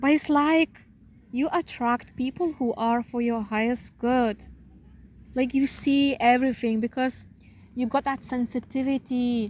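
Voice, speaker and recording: A woman's high-pitched voice at a fairly slow pace, with fairly even intonation. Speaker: spiritual channeler giving readings. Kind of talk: channeled spiritual reading. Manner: calm.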